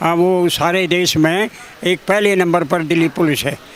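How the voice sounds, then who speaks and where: Over noticeable background noise, a man talks at a high pitch in a monotone, flat way. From Delhi, Bawana village. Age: 80s+. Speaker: retired headmaster. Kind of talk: interview. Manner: halting.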